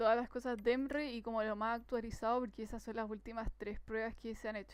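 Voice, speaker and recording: A woman's plain, everyday voice, fairly high in pitch, with fairly even intonation. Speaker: tutor. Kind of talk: tutorial. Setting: live stream.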